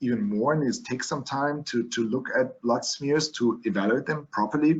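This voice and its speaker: Speaking at a moderate pace with a German accent, a man uses a fairly high pitch and lively intonation. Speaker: physician lecturing on leukemia. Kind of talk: lecture. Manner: halting, with many fillers and restarts.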